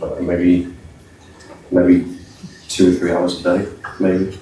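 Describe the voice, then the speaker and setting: A man speaks at a very deep, low pitch. Audible room echo surrounds the voice. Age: 50s. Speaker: trader and business owner. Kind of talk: panel discussion at live event. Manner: halting, many fillers.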